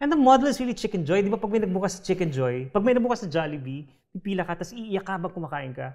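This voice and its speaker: A man speaks in a Filipino accent at a very fast pace, with hardly any pauses and a high pitch. His pitch swings very widely against a quiet background. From Philippines. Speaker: short story writer; writer on a panel. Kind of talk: literary panel discussion. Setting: stage with audience. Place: stage.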